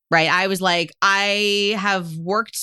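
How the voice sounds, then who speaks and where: Against a quiet background, a woman with a medium pitch speaks in an animated tone. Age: 40s. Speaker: life coach. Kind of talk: casual chat.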